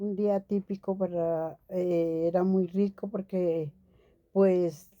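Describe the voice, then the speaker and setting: With a dark, mellow tone, a woman speaks at a very slow pace using fairly even intonation. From Colombia, Bogotá. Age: 70s. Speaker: retired secretary. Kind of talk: interview. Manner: halting, with fillers.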